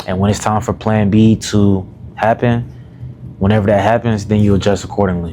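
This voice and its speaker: A man with a fairly low pitch speaks at a moderate pace in a monotone, flat way. Noticeable background noise sits behind him. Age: 20s. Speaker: self-development YouTuber and coach. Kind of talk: casual vlog monologue. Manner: casual, filler-heavy.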